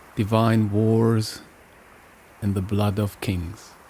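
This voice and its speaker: At a very slow pace, a man speaks at a medium pitch with monotone, flat intonation, the sound dry and close with no echo. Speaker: singer and shamanic practitioner. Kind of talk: podcast narration on myth and music. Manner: slow, deliberate.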